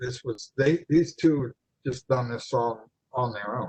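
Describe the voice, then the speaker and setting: This man's voice sits at a medium pitch and has some breathiness. His pitch rises and falls in an ordinary way. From eastern Ohio, New Philadelphia. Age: 80s+. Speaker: retired chiropractor. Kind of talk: interview, personal reminiscence. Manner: halting, many fillers and repeats.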